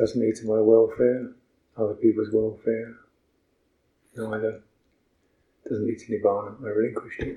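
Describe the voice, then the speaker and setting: The somewhat breathy voice holds a monotone, flat intonation, with long, frequent pauses and big swings in loudness. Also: man, medium pitch for a man, moderate pace. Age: 70s. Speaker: Buddhist monk and meditation teacher. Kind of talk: dharma talk on retreat. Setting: meditation retreat center.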